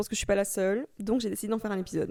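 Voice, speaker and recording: Dark, mellow tone from a woman with fairly high pitch, in a dry, close sound with no echo. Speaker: podcaster. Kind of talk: casual chat. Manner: soft-spoken, calm.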